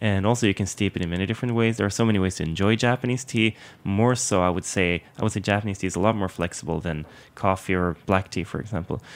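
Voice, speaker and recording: Speaking with a Swedish accent, a man has a fairly low pitch and ordinary pitch variation. His pace is very fast. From southern Sweden. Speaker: Japanese tea instructor. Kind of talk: interview conversation. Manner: hesitant, many fillers.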